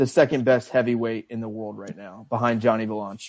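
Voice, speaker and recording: There is a quiet background as a man speaks. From Tennessee, US South. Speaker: podcast host. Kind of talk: casual banter, sports betting talk. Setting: live stream. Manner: joking, banter.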